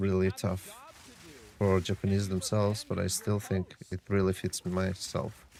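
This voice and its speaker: With a non-native accent, a man speaks at a fairly slow pace in a fairly low pitch, his intonation monotone and flat. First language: not English. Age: 30s. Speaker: game streamer and online English tutor. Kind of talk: casual live-stream chat. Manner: halting.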